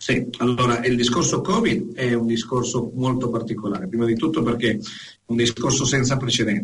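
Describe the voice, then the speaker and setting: A man at medium pitch with ordinary pitch variation, fairly quick pace and very even loudness, plus audible room echo. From Venezuela, Caracas. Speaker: honorary consular agent and educator. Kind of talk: casual interview. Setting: Skype call.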